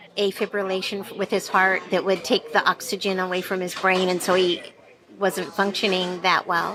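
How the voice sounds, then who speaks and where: A woman speaks at a medium pitch in a monotone, flat intonation. Noticeable background noise sits behind her voice. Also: moderate pace. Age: 60s. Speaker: diner patron. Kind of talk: casual interview. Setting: diner.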